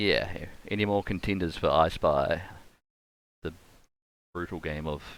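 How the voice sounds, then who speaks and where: A man speaks with a strong New Zealand accent. His pitch is very deep and low, his intonation fairly even. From New Zealand, Canterbury (Rangiora). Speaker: game streamer. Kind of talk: live gaming commentary. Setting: live stream with webcam. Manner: casual, thinking aloud.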